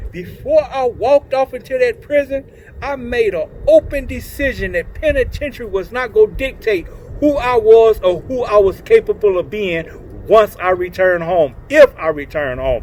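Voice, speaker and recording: A man in an animated tone at a moderate pace, with noticeable background noise. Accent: American. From Oklahoma City, US. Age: 60s. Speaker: community speaker, former prisoner. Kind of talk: motivational talk.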